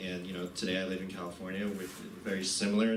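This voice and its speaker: Through noticeable background noise and audible room echo, a man speaks with a very deep, low pitch and monotone, flat intonation. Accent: American. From US Northeast, New Jersey. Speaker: poet giving a reading. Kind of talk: literary reading presentation. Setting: college event with audience. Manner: casual, hesitant with fillers.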